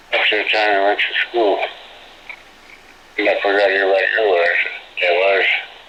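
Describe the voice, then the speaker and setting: At a moderate pace with long, frequent pauses, the speech holds a very even loudness amid audible room echo and noticeable background noise. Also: man. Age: 70s. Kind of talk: court testimony.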